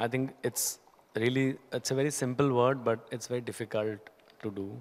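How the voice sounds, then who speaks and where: A man is speaking. He has an Indian accent. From India, Haryana. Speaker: company CEO; guest. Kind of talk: on-stage interview. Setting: stage with audience. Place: stage. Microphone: handheld.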